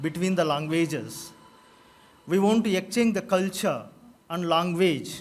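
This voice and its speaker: This man speaks with a Telugu accent at a high pitch. His pace is fairly slow and his intonation fairly even. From South India. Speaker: college principal. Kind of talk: formal speech. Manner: halting.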